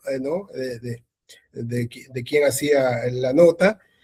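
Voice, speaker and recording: A man's dark, mellow, somewhat breathy voice, very slow, with ordinary pitch variation. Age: 60s. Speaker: sports journalist. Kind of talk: interview. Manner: halting, many repetitions.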